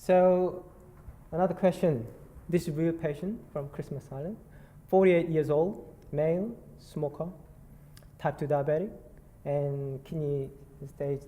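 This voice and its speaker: The speaker has a Korean accent and keeps a fairly slow pace. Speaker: nurse clinician. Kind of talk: conference presentation. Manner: halting, many fillers.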